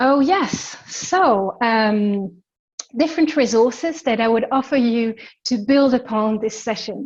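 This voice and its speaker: A fairly slow pace with ordinary pitch variation. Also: woman, high pitch for a woman. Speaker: embodiment coach. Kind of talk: webinar teaching.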